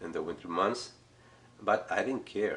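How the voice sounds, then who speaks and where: Speaking with a Spanish accent, the man keeps his voice at a medium pitch. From Chile. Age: 60s. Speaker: art teacher. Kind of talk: casual talk to camera.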